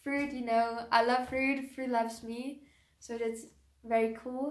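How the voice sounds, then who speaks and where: A woman with a German accent and a fairly high pitch speaks in a monotone, flat intonation, with audible room echo. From Germany. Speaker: YouTuber, raw vegan lifestyle creator. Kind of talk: personal vlog, casual talk to camera. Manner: hesitant, with many ums and restarts.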